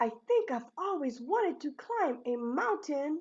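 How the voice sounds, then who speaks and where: In a put-on character voice, a woman talks high and at a moderate pace. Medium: read story. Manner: wondering, innocent.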